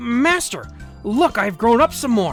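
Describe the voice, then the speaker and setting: Over clear background music, a female-sounding put-on character voice with a fairly high pitch moves at a fairly slow pace. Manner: cheerful, proud.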